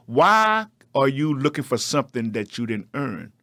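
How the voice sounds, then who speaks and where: A man with a fairly high pitch on a very clean recording with a silent background. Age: 60s. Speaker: program founder and mentor for men. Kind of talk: motivational talk in interview. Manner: preaching, emphatic.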